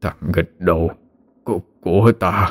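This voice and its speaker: A man uses a put-on character voice that is breathy and very deep, recorded with a dry, close sound and no echo. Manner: helpless, grieving.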